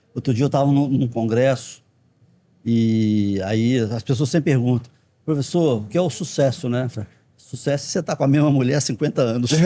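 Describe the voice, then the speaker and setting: The recording is very clean, and the background is silent. A man talks at a moderate pace in a dark, mellow tone. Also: medium pitch for a man, ordinary pitch variation. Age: 60s. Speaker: dentistry professor. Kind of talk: podcast interview.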